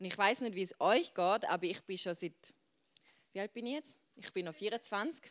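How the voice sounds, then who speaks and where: A woman talks at a moderate pace in a medium pitch, animated in tone with lively intonation. The sound is dry and close, with no echo. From Switzerland. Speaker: youth preacher. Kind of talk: sermon.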